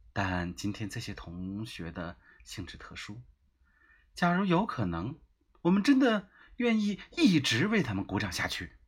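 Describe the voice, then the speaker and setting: In a very clean recording with a silent background, a man with a somewhat breathy, medium-pitched voice speaks fairly slowly, using long, frequent pauses, very wide pitch swings and big swings in loudness. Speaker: podcast host reading his travel diary. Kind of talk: reading aloud.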